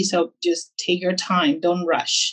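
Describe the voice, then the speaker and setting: A woman with a Spanish accent speaks at a very slow pace and a fairly low pitch. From Peru. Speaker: barbershop owner. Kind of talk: interview.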